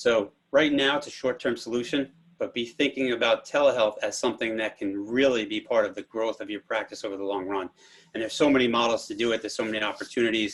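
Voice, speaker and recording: The man's words come out at a very fast pace. He holds a medium pitch with intonation that stays fairly even. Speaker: physical therapy telehealth panelist. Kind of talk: webinar presentation.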